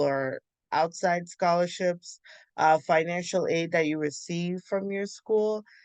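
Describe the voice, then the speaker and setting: Speaking in a plain, everyday voice, a woman has an American accent and a fairly low pitch. Her intonation is fairly even, and the sound is dry and close with no echo. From Ghana until age seven, then US. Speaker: medical student. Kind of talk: interview conversation. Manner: frequent fillers, um.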